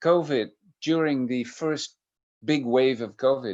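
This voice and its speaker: Very slow speech with a Dutch accent against a quiet background. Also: man. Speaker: professor of medical ethics. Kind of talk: lecture. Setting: video call. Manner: hesitant, many fillers.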